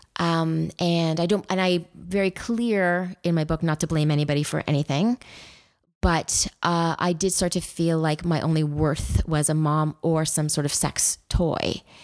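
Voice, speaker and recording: In a very clean recording with a silent background, a woman speaks in a normal speaking voice at a fairly low pitch and a fairly slow pace, with fairly even intonation and very even loudness. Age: 50s. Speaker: memoir author. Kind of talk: interview.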